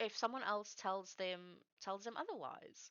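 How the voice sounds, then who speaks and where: A woman speaks with a South African accent. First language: Afrikaans. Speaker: streamer. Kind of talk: casual chat. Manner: halting.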